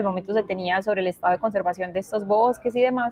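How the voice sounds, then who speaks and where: A woman talks very fast in a paisa accent. Her pitch is medium, with ordinary variation. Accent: paisa (Antioquia). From Colombia, Medellín (Antioquia). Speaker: science communicator and illustrator, invited speaker. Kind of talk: virtual talk presentation. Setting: virtual event.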